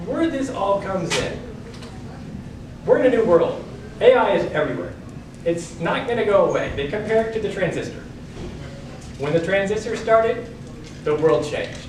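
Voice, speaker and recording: A man speaks in a high voice with lively intonation, leaving long, frequent pauses. Noticeable background noise and audible room echo surround him. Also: moderate pace. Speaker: speaker giving a talk. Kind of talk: speech to an audience.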